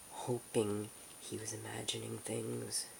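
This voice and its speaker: The speaker whispers with an American accent. The pace is very slow. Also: man. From United States. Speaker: ASMR creator. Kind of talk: ASMR audiobook reading. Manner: soft-spoken.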